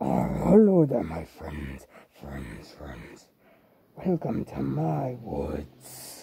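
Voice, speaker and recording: A man's put-on character voice, raspy and very deep, at a very slow pace. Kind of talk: spooky Halloween character monologue. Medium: role play.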